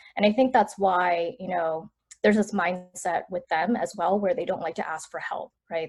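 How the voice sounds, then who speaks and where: A woman of medium pitch with ordinary pitch variation and a plain, everyday voice. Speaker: entrepreneur. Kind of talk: interview answer.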